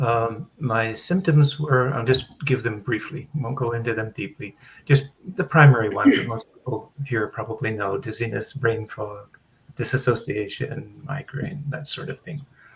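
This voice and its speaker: A somewhat breathy man's voice of medium pitch, at a moderate pace with ordinary pitch variation. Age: 70s. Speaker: recovered patient mentor. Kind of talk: panel discussion.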